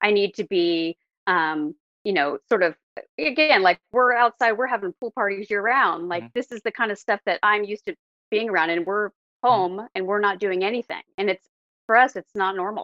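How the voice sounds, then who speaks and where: With an American accent, a woman speaks in an unremarkable speaking voice at a medium pitch and moderate pace, showing ordinary pitch variation. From Oregon, Portland area. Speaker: DNA sleuth. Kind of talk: interview.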